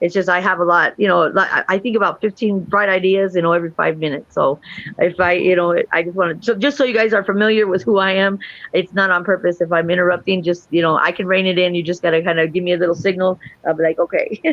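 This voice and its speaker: Speaking at a very fast pace, a woman holds a medium pitch and fairly even intonation. Her loudness stays very even. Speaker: guest on talk show. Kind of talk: casual chat.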